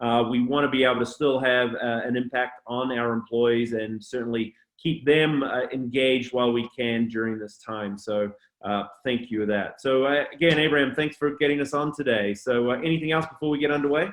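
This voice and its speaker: A man speaks at a fairly quick pace with a slight New Zealand accent. His pitch sits in the medium range. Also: ordinary pitch variation. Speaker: culture consultant and speaker. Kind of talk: webinar presentation. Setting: online webinar.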